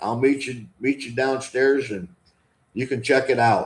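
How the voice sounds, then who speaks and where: A man speaks at medium pitch with an American accent. He has an unremarkable speaking voice. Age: 60s. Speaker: vlogger. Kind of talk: live stream chat. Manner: casual.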